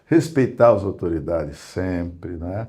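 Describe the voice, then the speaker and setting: A man with a very deep, low pitch talks in a dark, mellow tone with lively intonation. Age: 80s+. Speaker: professor and historian. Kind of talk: interview.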